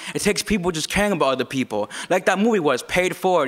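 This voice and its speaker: Very fast speech from a man with a high pitch, over noticeable background noise. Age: 20s. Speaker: open mic speaker. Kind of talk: open mic speech.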